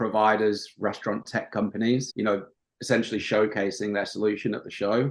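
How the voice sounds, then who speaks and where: The speaker is a man with a Yorkshire accent. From northern England, Yorkshire coast. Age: 30s. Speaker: marketing agency owner. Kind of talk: podcast interview. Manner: casual, many filler ums.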